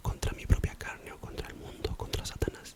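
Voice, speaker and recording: Man whispering at a moderate pace against noticeable background noise. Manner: whispered, soft-spoken.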